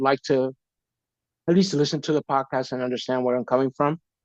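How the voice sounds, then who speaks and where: Fairly quick speech in a New York accent, with a dry, close sound with no echo. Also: man. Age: 50s. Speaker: podcaster sharing faith testimony. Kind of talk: casual interview chat. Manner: hesitant, many fillers.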